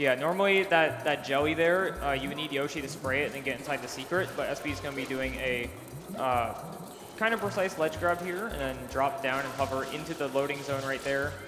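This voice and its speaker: With audible room echo and noticeable background noise, a man speaks at a fairly quick pace, his fairly high pitch showing ordinary variation. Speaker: speedrun commentator. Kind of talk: live commentary. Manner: fast.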